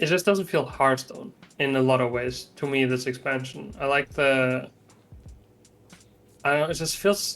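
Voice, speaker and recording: Music plays in the background behind a man. His pitch is medium, and he takes long, frequent pauses. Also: ordinary pitch variation, moderate pace. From Germany. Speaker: Hearthstone player and streamer. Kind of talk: casual interview chat.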